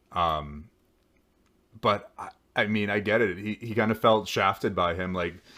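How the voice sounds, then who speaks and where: A man's fairly low voice at a fairly slow pace, with fairly even intonation, long, frequent pauses and a very clean recording with a silent background. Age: 30s. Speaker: podcast host recapping a reality show. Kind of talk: casual recap commentary.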